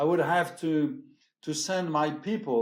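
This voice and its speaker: A man speaks at a very slow pace with a French accent. His pitch is high. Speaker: champagne house executive. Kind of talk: interview conversation. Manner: hesitant, many fillers.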